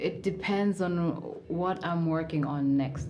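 With noticeable background noise behind her, a woman talks at a fairly slow pace and ordinary pitch variation. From Kenya, Mombasa. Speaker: live music event organizer. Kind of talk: interview.

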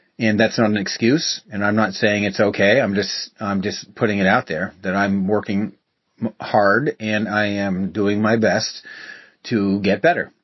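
Here a man talks at a fairly slow pace with a fairly low pitch. His intonation stays fairly even. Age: 50s. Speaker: podcast host. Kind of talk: solo reflective monologue. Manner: halting.

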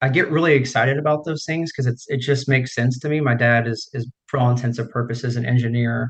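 In an American accent, a man speaks at a very fast pace with a somewhat breathy, medium-pitched voice and fairly even intonation. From United States, small town. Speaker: swim and strength coach. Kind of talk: interview.

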